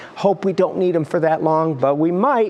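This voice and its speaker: This man's voice is high-pitched, and noticeable noise sits behind it. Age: 60s. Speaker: TV meteorologist. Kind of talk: TV weather forecast. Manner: animated.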